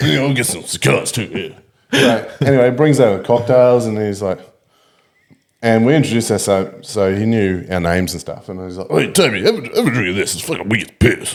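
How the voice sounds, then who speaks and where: Someone with an Australian accent speaks at a fairly quick pace, with ordinary pitch variation and big swings in loudness. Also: man, medium pitch for a man. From Australia (Ballina, NSW; then Townsville). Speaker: podcast guest, pool player. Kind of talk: casual chat. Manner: animated storytelling.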